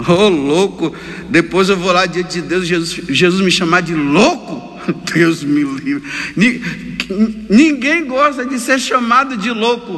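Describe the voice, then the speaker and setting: Noticeable background noise sits behind a man who talks at a very slow pace, his pitch high and his intonation lively. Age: 50s. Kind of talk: homily. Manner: animated.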